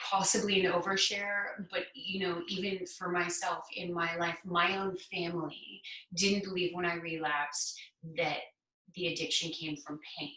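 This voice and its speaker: A woman's fairly low voice at a fairly slow pace, fairly even in intonation, with audible room echo. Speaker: person in addiction recovery sharing experience. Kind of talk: conversational interview.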